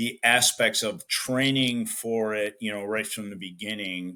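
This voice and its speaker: In a Chicago accent, a man talks at a fairly low pitch and a fairly slow pace. His tone is bright and sharp, his intonation fairly even, and the recording very clean with a silent background. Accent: Chicago American English. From US Midwest, south side of Chicago. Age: 60s. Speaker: strength coach. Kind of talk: podcast interview. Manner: casual, many fillers.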